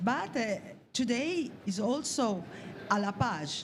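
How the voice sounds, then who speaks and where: Amid audible room echo, a woman speaks at a fairly high pitch with lively intonation. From Italy. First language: Italian. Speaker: journalist. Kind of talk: press conference question. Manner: halting, many fillers.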